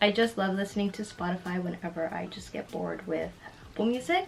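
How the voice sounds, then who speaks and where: Noticeable background noise runs under a woman's voice. She speaks at a fairly quick pace with fairly even intonation. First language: Spanish. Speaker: lifestyle YouTuber. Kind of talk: casual tech walkthrough vlog.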